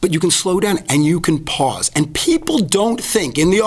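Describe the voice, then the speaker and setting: A man talks with lively intonation. Noticeable background noise sits behind him. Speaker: advertising expert and professional speaker. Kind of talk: podcast interview. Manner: fast.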